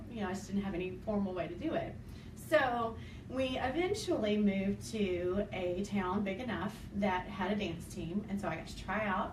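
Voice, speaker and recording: A woman speaks in an Arkansas accent at medium pitch with ordinary pitch variation. Noticeable background noise and audible room echo fill the recording. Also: moderate pace. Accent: Southern (Arkansas) accent, still noticeable. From Arkansas, US South. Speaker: dance team coach and choreographer. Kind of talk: interview. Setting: filmed interview with camera person.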